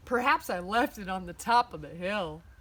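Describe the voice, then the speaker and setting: A woman mumbles in a put-on character voice at medium pitch. Her pace is moderate. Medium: read story. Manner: mumbling, sulky.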